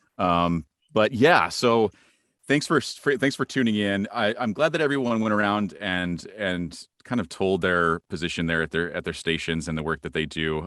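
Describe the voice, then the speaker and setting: With an American accent, a man uses a plain, everyday voice at a fairly low pitch, with lively intonation, a moderate pace and a dry, close sound with no echo. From Central Iowa. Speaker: voice actor. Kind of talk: workshop presentation. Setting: video call. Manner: casual, friendly.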